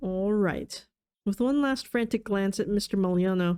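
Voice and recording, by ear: Someone is reading aloud in a natural voice with ordinary pitch variation against a quiet background.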